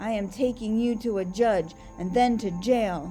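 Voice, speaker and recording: A woman's put-on character voice, fairly high in pitch and moderate in pace, with clear background noise. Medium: read story. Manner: blunt, curt, suspicious.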